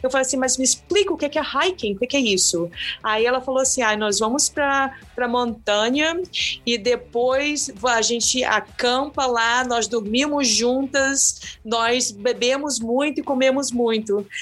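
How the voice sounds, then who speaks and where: Speaking in a Brazilian accent, a woman uses a high pitch with ordinary pitch variation, a fairly slow pace and very even loudness. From Brazil, coastal town. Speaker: long-distance hiker. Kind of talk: interview. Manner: halting, many fillers.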